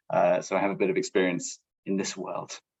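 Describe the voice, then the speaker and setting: A man with an English accent. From England. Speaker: program manager, former international student advisor. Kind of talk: panel presentation.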